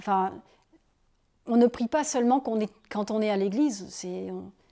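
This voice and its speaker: At a moderate pace, a woman speaks with a dark, mellow tone, a fairly high pitch and ordinary pitch variation on a very clean recording with a silent background. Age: 40s. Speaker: nun. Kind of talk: interview testimony. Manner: casual, conversational.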